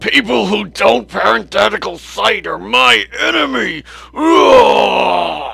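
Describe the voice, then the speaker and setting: This man uses a put-on character voice at medium pitch. His pace is very slow. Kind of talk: comedic student film skit. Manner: excitable, angry.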